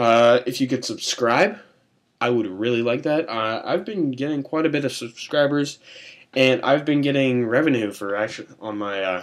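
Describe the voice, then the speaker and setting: The man speaks at a moderate pace with a medium pitch and ordinary pitch variation. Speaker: YouTube gaming tutorial creator. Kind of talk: tutorial. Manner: hesitant, many fillers and restarts; casual.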